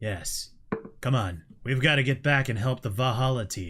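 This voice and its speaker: Using a put-on character voice, a man talks at a moderate pace and a medium pitch. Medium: actual play.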